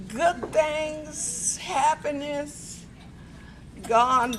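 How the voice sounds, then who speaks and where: A woman with an American accent speaks amid noticeable background noise and audible room echo. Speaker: birthday honoree. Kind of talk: speech at celebration.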